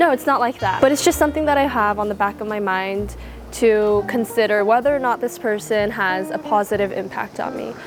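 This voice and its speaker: A woman speaks at a fairly quick pace with a fairly high pitch and lively intonation over noticeable background noise. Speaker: vlogger. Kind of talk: casual monologue.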